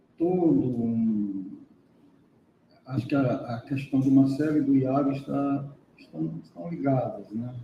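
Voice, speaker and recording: At a very slow pace, a man speaks at a medium pitch in a somewhat breathy voice. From Brazil, Piauí. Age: 60s. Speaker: professor, seminar speaker. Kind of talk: academic panel discussion.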